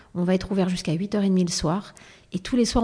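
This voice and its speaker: A woman with a dark, mellow tone talks at a fairly quick pace in a monotone, flat intonation. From Provence, southern France. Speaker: entrepreneur, founder of a luxury brand. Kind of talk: interview. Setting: in a shop.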